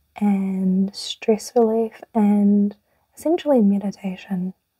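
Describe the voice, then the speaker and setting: A soft-spoken voice carries a New Zealand accent. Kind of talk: casual talk to camera.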